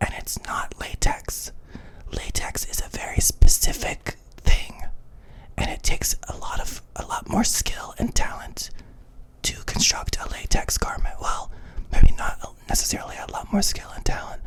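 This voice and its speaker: A whisper at a moderate pace, with noticeable background noise. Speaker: drag queen and YouTube creator. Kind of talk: casual talk to camera (ASMR-style rant). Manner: soft, whispery, chatty.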